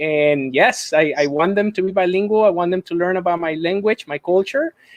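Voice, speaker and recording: This man talks with a Mexican accent at a fairly quick pace. His pitch is high, with ordinary pitch variation. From Mexico. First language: Spanish. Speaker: school administrator, dual language advocate. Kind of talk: live-streamed casual conversation.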